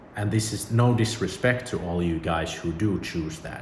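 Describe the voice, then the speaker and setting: With a Finnish accent, a man speaks at a fairly slow pace and a fairly low pitch. His pitch swings very wide, and audible room echo surrounds the voice. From Finland. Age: 30s. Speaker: YouTuber. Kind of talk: personal vlog monologue. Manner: casual.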